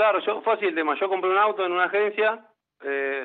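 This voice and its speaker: With a Rioplatense accent, a man talks at a very fast pace with ordinary pitch variation. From Buenos Aires, Argentina. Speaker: former footballer. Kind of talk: radio interview.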